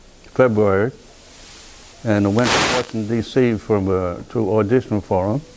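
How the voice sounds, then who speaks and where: Amid noticeable background noise, a man with an American accent speaks at a moderate pace and fairly low pitch, with fairly even intonation and long, frequent pauses. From US Northeast, Pawtucket, Rhode Island. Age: 90s. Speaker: war veteran. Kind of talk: oral history interview. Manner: halting, repeats words.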